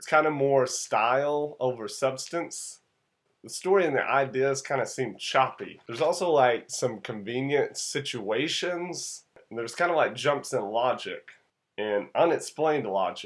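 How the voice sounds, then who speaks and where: A man with an American accent, fairly high-pitched, at a fairly slow pace, with ordinary pitch variation, on a very clean recording with a silent background. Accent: southern US accent, comes out when tired. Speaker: movie reviewer. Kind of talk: casual movie review. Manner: casual, conversational.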